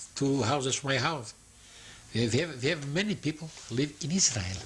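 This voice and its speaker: A man talks at a medium pitch and a fairly quick pace against noticeable background noise. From eastern Poland. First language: Yiddish. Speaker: Holocaust survivor. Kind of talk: oral history interview. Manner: halting.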